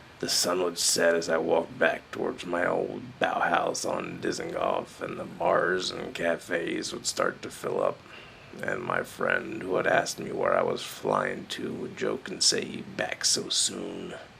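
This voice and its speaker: A man does a raspy, put-on character voice at a fairly slow pace. Clear background noise runs behind him. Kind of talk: spoken-word storytelling. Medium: solo performance. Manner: wry, profane, reflective.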